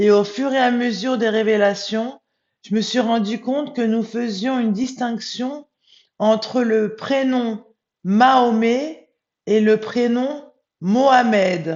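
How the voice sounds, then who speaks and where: Speaking very slowly, a woman keeps a fairly high pitch and fairly even intonation. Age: 40s. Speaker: spiritual medium. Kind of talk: vlog monologue. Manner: hesitant, many filler sounds.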